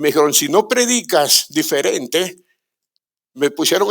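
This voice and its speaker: A man with a high pitch, very wide pitch swings and a moderate pace. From Guatemala. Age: 70s. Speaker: pastor. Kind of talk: sermon.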